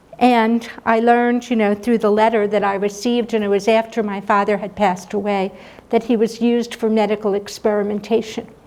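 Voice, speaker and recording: A woman's fairly high voice at a fairly quick pace, monotone and flat, over noticeable background noise. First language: German. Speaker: speaker sharing family Holocaust history. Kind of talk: public talk.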